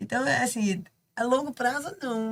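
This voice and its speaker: A woman with an ordinary speaking voice, fairly high in pitch, lively in intonation, at a moderate pace. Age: 60s. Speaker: canoe athlete. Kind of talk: casual chat.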